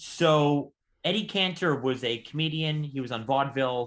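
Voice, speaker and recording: A man's pitch varies in an ordinary way on a very clean recording with a silent background. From Southern California. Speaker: podcast co-host, stamp dealer and silent film enthusiast. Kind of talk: casual chat. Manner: fast.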